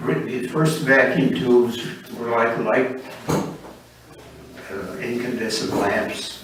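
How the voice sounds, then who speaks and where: Noticeable background noise surrounds a man at medium pitch with ordinary pitch variation. He talks at a very slow pace. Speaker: amateur radio operator. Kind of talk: talk to a club meeting. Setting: meeting room.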